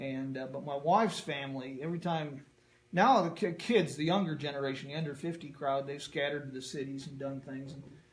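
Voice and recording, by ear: A man with an American accent at medium pitch, fairly quick pace, ordinary pitch variation, and strong room echo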